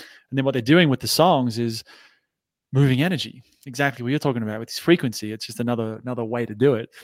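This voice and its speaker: The sound is dry and close, with no echo. A man with an Australian accent talks very fast at medium pitch with ordinary pitch variation. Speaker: entrepreneur and anxiety coach. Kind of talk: interview.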